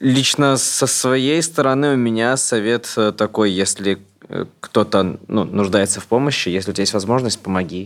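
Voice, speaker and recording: An ordinary speaking voice from a man at medium pitch and moderate pace, with ordinary pitch variation and very even loudness. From Moscow. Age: 30s. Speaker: blogger. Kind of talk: casual chat.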